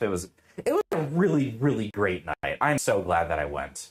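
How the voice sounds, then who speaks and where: A man speaks loudly in an animated tone. His pace is fairly quick. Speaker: streamer. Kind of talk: casual chat.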